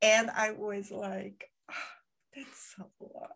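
A woman with a Brazilian accent speaks at a very slow pace. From Brazil, Rio de Janeiro. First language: Portuguese. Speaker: podcaster. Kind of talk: casual interview chat. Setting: at home in Spain, in-person with one host. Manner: soft-spoken; bubbly.

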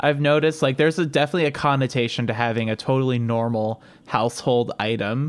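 The speaker talks very fast with a Northern Ohio accent and ordinary pitch variation. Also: man, medium pitch for a man. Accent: Northern Ohio American. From Cleveland, Ohio. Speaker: podcast co-host. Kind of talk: casual chat.

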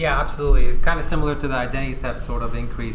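The speaker has an American accent. The recording carries audible room echo and noticeable background noise. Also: man. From California, San Diego. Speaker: tax attorney. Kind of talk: interview. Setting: conference.

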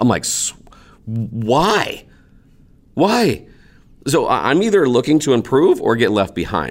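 At a fairly slow pace with long, frequent pauses, the speaker uses an animated tone, very wide pitch swings and vocal fry. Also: man, fairly high pitch for a man. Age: 40s. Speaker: teacher and entrepreneur. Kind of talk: interview.

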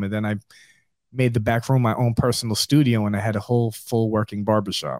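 Over a silent background in a very clean recording, a man with an American accent uses an ordinary speaking voice at a medium pitch, talking at a fairly quick pace with fairly even intonation. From New York. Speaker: barbershop owner. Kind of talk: interview.

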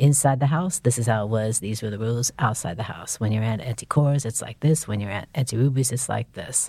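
In a very clean recording with a silent background, a woman speaks very fast with hardly any pauses, her very deep, low voice dark, mellow and somewhat breathy, with ordinary pitch variation. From San Francisco, US. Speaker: professor and writer. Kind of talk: interview conversation. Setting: studio.

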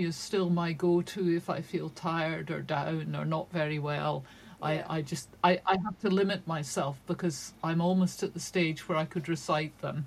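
In a Shetland accent, a woman with a fairly low voice speaks at a moderate pace with fairly even intonation and hardly any pauses. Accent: Shetland Scottish. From Scotland, Shetland. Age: 60s. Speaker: crime novelist. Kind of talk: casual interview.

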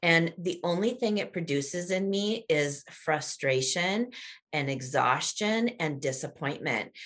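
A woman speaks at a fairly slow pace with fairly low pitch and lively intonation. Hers is a plain, everyday voice. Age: 50s. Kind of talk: casual faith-based interview chat.

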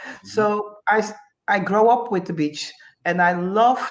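Her pace is fairly slow. The woman has a Dutch accent. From Curacao. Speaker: retired Olympic swimmer. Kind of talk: casual interview. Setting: video call from Holland. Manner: halting, non-native phrasing.

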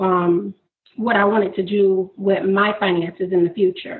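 In an American accent, a woman with an unremarkable speaking voice talks at a medium pitch with fairly even intonation. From Florida. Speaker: graduate student and entrepreneur. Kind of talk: interview.

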